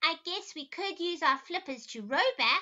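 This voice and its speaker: A woman puts on a character voice, raised and projected, at a moderate pace and an extremely high pitch. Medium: read story. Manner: nervous.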